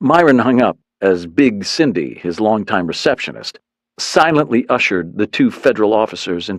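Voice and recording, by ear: With a quiet background behind them, the speaker reads aloud in a natural voice.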